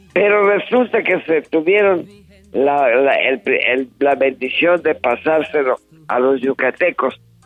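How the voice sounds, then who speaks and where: Over music in the background, a man with a fairly high pitch talks at a very slow pace, his intonation lively and his loudness very even. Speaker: songwriter and singer. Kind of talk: interview answer.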